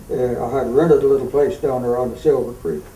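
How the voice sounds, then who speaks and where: Background noise is noticeable here. Through it, a man's voice comes across. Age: 80s+. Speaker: cutting horse trainer. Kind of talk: interview answer.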